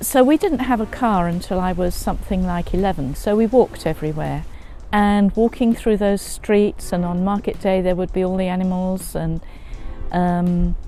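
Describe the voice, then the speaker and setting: Over noticeable background noise, a woman with a southern English accent talks at a medium pitch and a moderate pace, with ordinary pitch variation. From England, North Essex. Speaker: interviewee. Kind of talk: interview.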